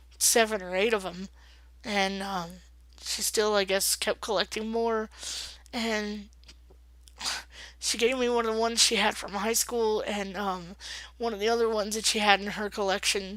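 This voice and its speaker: On a very clean recording with a silent background, a woman speaks in a fairly high pitch at a moderate pace, her intonation monotone and flat, with long, frequent pauses. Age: 30s. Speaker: vlogger. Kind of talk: casual vlog. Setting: at home, late at night. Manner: hesitant, many fillers.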